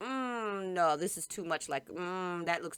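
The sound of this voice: An unforced reading voice shows ordinary pitch variation throughout.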